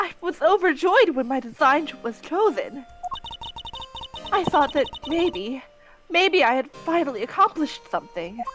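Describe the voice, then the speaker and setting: Against music in the background, the speaker goes at a fairly slow pace with long, frequent pauses. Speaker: company employee who designed a product. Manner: apologetic, emotional.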